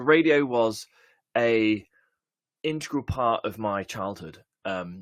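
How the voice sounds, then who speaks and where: Someone with an English accent speaks at a very slow pace with long, frequent pauses, the sound dry and close with no echo on a very clean recording with a silent background. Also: man, medium pitch for a man. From England. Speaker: software conference speaker. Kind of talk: conference talk. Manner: hesitant, many fillers.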